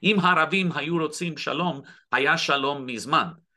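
Delivery runs at a moderate pace. The tone is bright and sharp. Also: man. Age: 60s. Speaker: activist. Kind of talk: interview. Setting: video call. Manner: halting.

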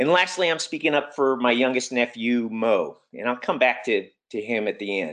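A man with a normal speaking voice talks at a moderate pace with lively intonation against a quiet background. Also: medium pitch for a man. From US (Army brat, moved around). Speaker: public school teacher and climate campaigner. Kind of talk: webinar presentation. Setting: video call.

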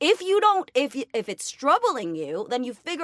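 A woman's raised, projected high voice with very wide pitch swings, a moderate pace, and a dry, close sound with no echo. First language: Spanish. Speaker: comedian and actor. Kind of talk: casual chat.

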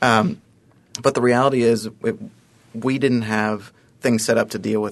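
With an American accent, a man talks in a normal speaking voice at a moderate pace, his pitch medium and his intonation fairly even. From Ohio (Columbus). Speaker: fundraising campaign consultant. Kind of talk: radio interview.

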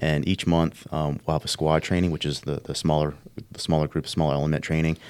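A man talks at a very fast pace in a very deep, low voice. His intonation is monotone and flat. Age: 30s. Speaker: police sergeant on SWAT team. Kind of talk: casual interview chat. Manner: halting, many fillers.

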